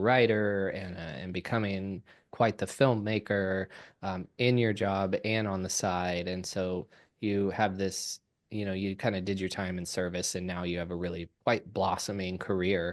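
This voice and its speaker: An unremarkable speaking voice from a man, fairly low in pitch, fairly slow and fairly even in intonation, over a quiet background. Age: 30s. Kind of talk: casual podcast conversation.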